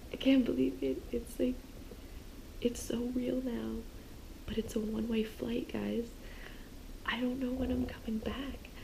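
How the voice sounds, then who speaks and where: A woman at a fairly slow pace with long, frequent pauses, amid audible room echo and noticeable background noise. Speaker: travel vlogger. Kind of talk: casual vlog talk to camera. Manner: whispering.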